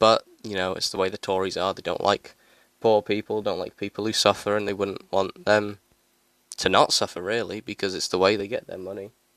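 A man with a British accent and a fairly low pitch speaks at a moderate pace in a monotone, flat way, on a very clean recording with a silent background and a dry, close sound with no echo. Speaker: solo podcaster. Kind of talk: angry political rant about hunger and poverty. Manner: indignant, repeating lines with mounting outrage; rhetorical, sarcastic jabs.

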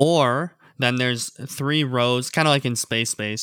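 Dry and close with no echo, a man speaks in a plain, everyday voice, medium in pitch, with fairly even intonation. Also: very clean recording, silent background. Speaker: podcast co-host. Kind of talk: casual chat.

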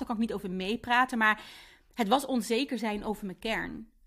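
On a very clean recording with a silent background, a woman talks at a fairly quick pace using ordinary pitch variation. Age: 30s. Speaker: podcast host and entrepreneur. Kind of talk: personal monologue.

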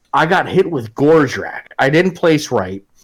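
With lively intonation and some vocal fry, a man talks at a moderate pace in a fairly high voice. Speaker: wargaming podcaster. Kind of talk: casual chat. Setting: livestream with live chat.

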